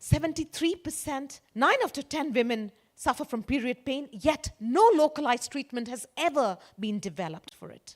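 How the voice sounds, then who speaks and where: High pitch and very wide pitch swings from a female speaker. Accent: Indian. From India. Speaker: conference speaker. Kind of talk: keynote talk.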